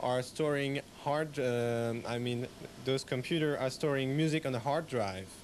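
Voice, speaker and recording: Speaking fairly slowly with a French accent, a man uses a fairly high pitch that varies in an ordinary way. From France. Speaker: radio technician. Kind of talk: interview. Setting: radio station rack room.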